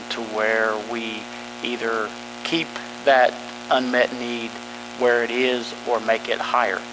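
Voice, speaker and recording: Noticeable background noise is heard. A man speaks very slowly at a medium pitch. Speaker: school facilities planning presenter. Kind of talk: meeting presentation. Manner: monotone.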